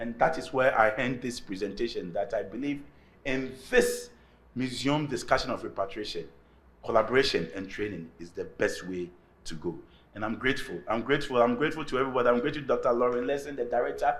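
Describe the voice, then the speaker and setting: Audible room echo is present. A man talks through it at a very fast pace. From Ghana. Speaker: artist and academic. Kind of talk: lecture.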